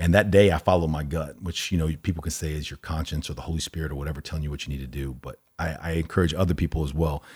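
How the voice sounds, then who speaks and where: A man with an American accent talks at a very fast pace in a very deep, low voice with vocal fry. The recording is very clean, with a silent background. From Texas (Allen). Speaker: entrepreneur. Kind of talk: casual chat. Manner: animated.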